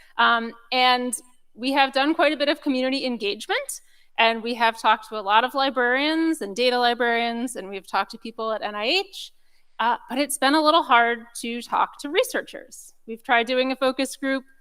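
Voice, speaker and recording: Loud and high-pitched, a woman talks with a bright, sharp tone. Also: ordinary pitch variation, moderate pace. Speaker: session presenter. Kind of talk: conference presentation.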